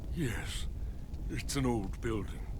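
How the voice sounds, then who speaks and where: Loud background noise fills the clip. Over it, a man performs a put-on character voice. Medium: fan dub. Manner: insistent, secretive.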